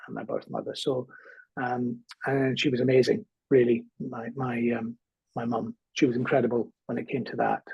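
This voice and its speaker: A man's somewhat breathy voice with a Scottish accent, medium pitch, monotone, flat intonation and a moderate pace. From Scotland, small town. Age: 50s. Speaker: comedian. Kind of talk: interview, personal life story. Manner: hesitant, many fillers and repetitions.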